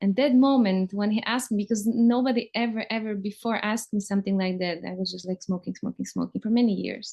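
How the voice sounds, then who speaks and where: The speech comes very fast with hardly any pauses, in a somewhat breathy voice with a non-native accent. Intonation stays fairly even. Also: woman, medium pitch for a woman. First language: not English. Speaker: interviewer. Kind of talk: casual conversation, personal story.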